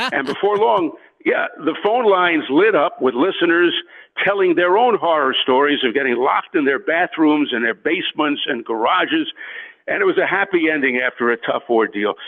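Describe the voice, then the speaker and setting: With an American accent, a high-pitched man speaks at a moderate pace with lively intonation and very even loudness. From New York. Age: 50s. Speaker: sports broadcaster. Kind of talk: interview storytelling. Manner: halting, many fillers.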